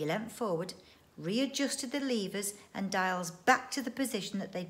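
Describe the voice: Here someone simply reads aloud in a plain way.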